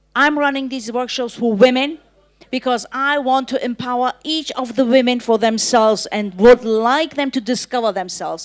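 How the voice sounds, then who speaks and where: Speaking at a moderate pace, a woman with a high pitch shows ordinary pitch variation. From Germany, Turkish family. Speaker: workshop founder. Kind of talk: panel discussion.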